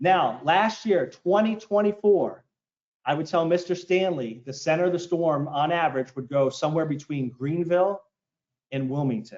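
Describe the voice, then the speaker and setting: Lively in intonation, a man with an American accent speaks at a high pitch. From Maryland, US (Baltimore). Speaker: meteorologist. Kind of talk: public presentation. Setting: community forum with audience. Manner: fast.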